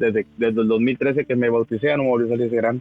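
A man's voice with music in the background. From Mexico, northern Tamaulipas. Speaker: church member giving testimony. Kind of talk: testimony. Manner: halting, many repetitions.

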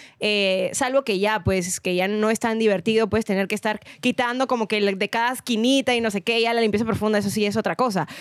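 A woman speaks at a fairly quick pace with hardly any pauses, her loudness very even and her intonation fairly even. Her fairly high pitch comes through a dry, close sound with no echo. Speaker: radio presenter and podcaster. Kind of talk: casual chat.

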